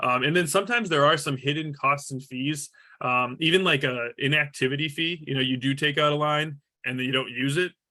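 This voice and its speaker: At a fairly quick pace, a man with a fairly high pitch talks with ordinary pitch variation. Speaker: franchise sales executive. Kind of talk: webinar presentation. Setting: online webinar. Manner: fast; halting, many fillers and repetitions.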